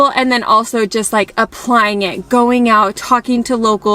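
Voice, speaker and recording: A woman's fairly high voice with an American accent and fairly even intonation, amid noticeable background noise. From United States. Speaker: family travel vlogger. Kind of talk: casual vlog talk.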